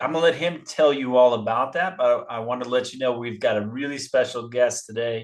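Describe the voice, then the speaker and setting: This man has a normal speaking voice, medium pitch, ordinary pitch variation and a moderate pace, set against a quiet background. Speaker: baseball coach, podcast host. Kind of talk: podcast interview host.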